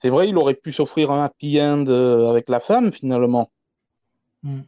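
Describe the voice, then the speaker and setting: Speaking fairly slowly in a fairly high pitch, a man with a dark, mellow tone shows ordinary pitch variation in a dry, close recording with no echo. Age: 30s. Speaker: film enthusiast, forum member. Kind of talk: casual panel discussion.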